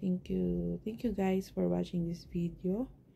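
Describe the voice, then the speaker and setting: A woman is soft-spoken. She talks at a fairly slow pace. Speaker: family vlogger. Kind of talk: casual vlog talk.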